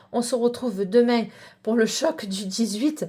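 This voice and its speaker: This woman talks fairly slowly, her fairly high pitch showing ordinary pitch variation. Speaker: psychic card reader. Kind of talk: tarot reading. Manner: hesitant with many fillers.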